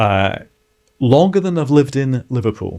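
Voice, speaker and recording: With a Scottish accent, a man speaks with lively intonation. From Scotland, Edinburgh (Leith). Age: 60s. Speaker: former city mayor and author. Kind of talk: interview, life story. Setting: studio.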